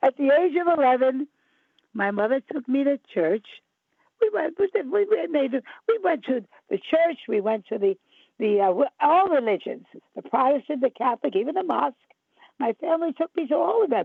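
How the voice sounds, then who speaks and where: A woman talks at a fairly quick pace with a high pitch and very wide pitch swings. Her speech has long, frequent pauses. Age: 80s+. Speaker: psychic and mystic. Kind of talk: interview. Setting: radio show.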